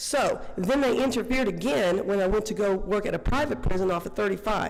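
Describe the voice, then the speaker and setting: The speech moves at a fairly quick pace with ordinary pitch variation. Audible room echo is present. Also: woman. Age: 60s. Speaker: public commenter, former corrections officer. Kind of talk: public comment at board meeting. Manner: animated.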